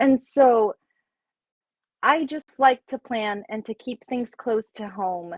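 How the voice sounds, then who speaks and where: Very slow delivery with long, frequent pauses and ordinary pitch variation, in a dry, close sound with no echo. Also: woman, fairly high pitch for a woman, big swings in loudness. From Puerto Rico. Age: 30s. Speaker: life coach and mentor. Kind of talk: interview conversation. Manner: animated.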